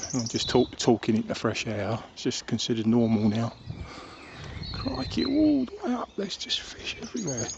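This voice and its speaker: Over noticeable background noise, a man with a southern English accent speaks at a moderate pace. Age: old. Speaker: vlogger. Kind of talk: casual monologue. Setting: outdoors. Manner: halting; soft-spoken.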